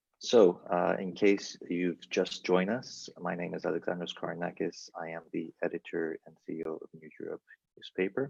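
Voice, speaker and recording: A man talks at a moderate pace, with big swings in loudness. His voice sounds dry and close, with no echo. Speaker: newspaper editor and panel moderator. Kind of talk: panel moderation. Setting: video call, live stream.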